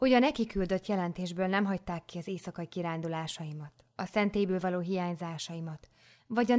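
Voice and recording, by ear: A passage is read aloud. The voice sounds natural.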